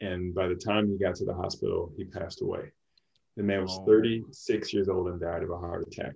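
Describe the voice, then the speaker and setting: A man's somewhat breathy, very deep, low voice, monotone and flat, at a moderate pace. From Louisiana. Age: 30s. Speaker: physician. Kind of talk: casual chat.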